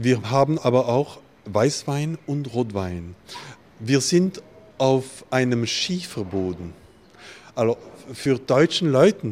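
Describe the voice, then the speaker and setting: Noticeable background noise sits under the recording. A man speaks at a very slow pace. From Alsace, France. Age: 50s. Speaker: winemaker. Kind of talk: interview. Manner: halting.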